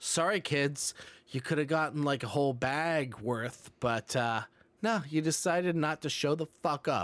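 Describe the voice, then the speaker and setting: A man with an unremarkable speaking voice talks at a fairly high pitch and a fairly slow pace, with ordinary pitch variation, very even loudness and a dry, close sound with no echo. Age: 30s. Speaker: podcast co-host. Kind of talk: casual chat.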